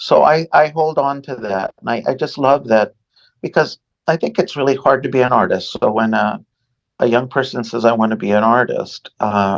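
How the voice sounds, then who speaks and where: Close and dry with no echo, the recording catches a man with an American accent whose lively intonation is edged with vocal fry. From US West Coast (Los Angeles). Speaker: painter and art professor. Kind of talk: interview conversation. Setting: podcast interview. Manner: halting, with repetitions.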